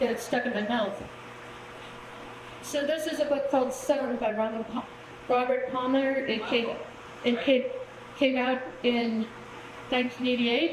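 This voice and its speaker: A woman speaks in a high pitch at a moderate pace, her intonation flat and monotone, with long, frequent pauses. Noticeable background noise and audible room echo surround her voice. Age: 60s. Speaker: poet. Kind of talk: poetry reading event talk. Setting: stage with audience. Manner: halting.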